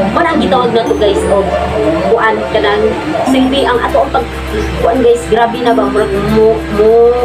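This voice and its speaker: Clear background music under a woman's moderately paced speech. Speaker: vlogger. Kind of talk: casual vlog chat. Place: home room. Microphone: camera far.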